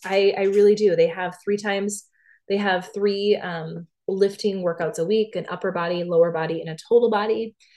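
Against a quiet background, a woman speaks in an ordinary speaking voice at a moderate pace with ordinary pitch variation. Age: 30s. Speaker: podcast host and fitness instructor. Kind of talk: solo podcast monologue. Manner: casual, many filler words.

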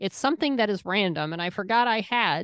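A woman with a normal speaking voice talks at a medium pitch and a fairly quick pace, with lively intonation. The sound is dry and close with no echo, over a quiet background. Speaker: podcast co-host. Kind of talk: casual chat.

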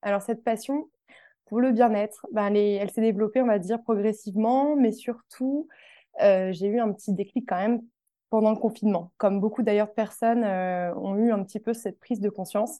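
At a moderate pace, a woman with a dark, mellow tone and a fairly high pitch speaks with fairly even intonation against a quiet background. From France, Tours. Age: 20s. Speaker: wellness box founder. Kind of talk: interview. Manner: hesitant with fillers.

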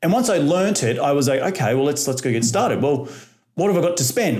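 With an Australian accent, a man talks very fast in a lively intonation. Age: 30s. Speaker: real estate investor. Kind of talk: podcast interview.

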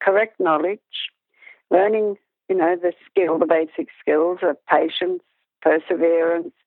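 A woman at medium pitch with an Australian accent. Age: 60s. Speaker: dressage instructor and judge. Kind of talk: interview conversation.

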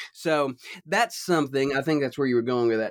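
Recorded with a dry, close sound and no echo, a man speaks at a medium pitch in a Southern US accent. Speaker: husband of host, guest. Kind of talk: casual chat. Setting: video call.

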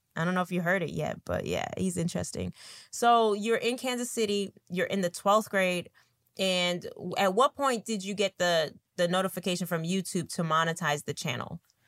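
Here a woman has an ordinary speaking voice at medium pitch with ordinary pitch variation. She talks at a moderate pace, and the sound is dry and close with no echo. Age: 30s. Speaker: podcast host. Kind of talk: casual interview.

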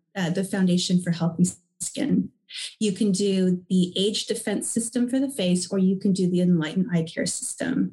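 A woman speaks at a moderate pace with a medium pitch and ordinary pitch variation. Her tone is dark and mellow, and somewhat breathy. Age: 40s. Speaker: skincare company co-founder. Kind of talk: interview.

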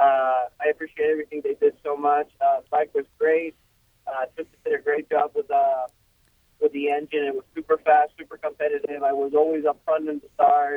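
Here a man speaks with a Spanish accent. His speech has long, frequent pauses. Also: moderate pace. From Ecuador. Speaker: professional motocross racer. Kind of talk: casual interview.

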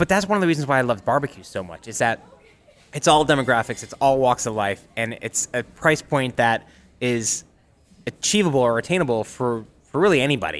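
A man's normal speaking voice, medium in pitch, at a fairly quick pace. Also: lively intonation. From upstate New York (Utica). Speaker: chef and restaurant owner. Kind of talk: casual interview.

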